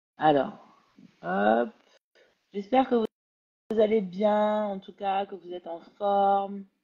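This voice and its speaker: The speech moves at a very slow pace with long, frequent pauses, big swings in loudness, and ordinary pitch variation. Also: woman, medium pitch for a woman. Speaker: live interview host. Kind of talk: live video interview. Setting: online live video stream.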